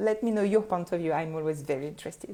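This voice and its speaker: A woman speaks with a French accent. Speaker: photographer and business coach podcaster. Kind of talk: solo podcast talk. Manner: halting, frequent fillers.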